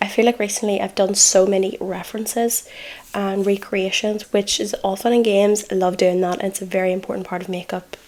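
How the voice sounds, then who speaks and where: Speaking at a fairly quick pace with an Irish accent, a woman keeps a medium pitch and a monotone, flat intonation in a relaxed tone over noticeable background noise. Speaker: makeup artist. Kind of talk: casual makeup tutorial talk to camera. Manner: chatty, relaxed.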